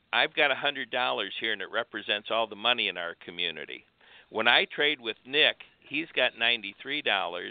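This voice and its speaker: At a fairly slow pace, a man with an ordinary speaking voice talks in a medium pitch with lively intonation. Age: 60s. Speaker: guest advocate. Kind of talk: casual chat. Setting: phone call.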